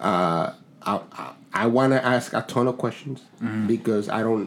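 Against noticeable background noise, a man with a Spanish accent speaks. His medium-pitched voice moves at a fairly slow pace with ordinary pitch variation. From Dominican Republic, then South Bronx. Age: 40s. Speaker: podcast host. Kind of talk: casual chat.

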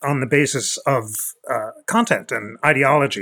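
A man with a plain, everyday voice talks at a fairly slow pace with lively intonation, captured in a very clean recording with a silent background. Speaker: constitutional law expert. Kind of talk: expert interview discussion.

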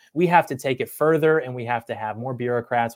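A man talks in an American accent at a fairly quick pace. His medium-pitched voice is an unremarkable speaking voice. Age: 20s. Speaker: YouTuber and commentator. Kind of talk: livestream interview chat.

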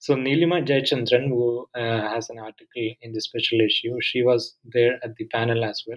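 At a moderate pace, a man talks with hardly any pauses at a medium pitch. His intonation is fairly even, with big swings in loudness. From southern India. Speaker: history professor. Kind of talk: academic podcast interview.

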